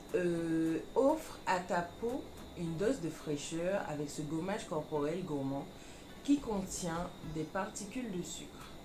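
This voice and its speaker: Over music in the background, a woman speaks at a very slow pace and fairly low pitch with lively intonation. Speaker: beauty vlogger. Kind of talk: casual product review to camera.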